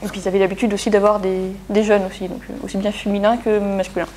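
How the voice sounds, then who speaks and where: A woman talks at a very fast pace. Noticeable background noise runs under her speech. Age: 20s. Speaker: engineer. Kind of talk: testimony interview. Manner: halting, many fillers.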